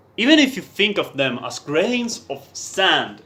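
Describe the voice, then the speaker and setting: This man speaks at a fairly slow pace with a non-native accent. His voice sits high for a man and swings very widely in pitch. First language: not English. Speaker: writer reading own text. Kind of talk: reading aloud. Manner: halting.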